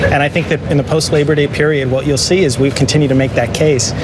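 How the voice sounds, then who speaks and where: A man talks at a very fast pace amid loud background noise. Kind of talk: interview answer. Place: street. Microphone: lapel.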